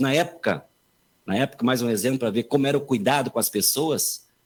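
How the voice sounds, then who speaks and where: With an unremarkable speaking voice, a man talks at a moderate pace and medium pitch, keeping his intonation fairly even. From southern Brazil, rural northwest Rio Grande do Sul. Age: 50s. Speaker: politician, gubernatorial pre-candidate. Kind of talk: radio interview with campaign speech.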